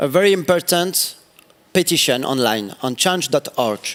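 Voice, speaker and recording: Lively intonation marks this man's fairly slow delivery in a French accent, with a dry, close sound that has no echo. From France. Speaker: city councillor, politician. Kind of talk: panel interview on stage. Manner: halting, searching for English words.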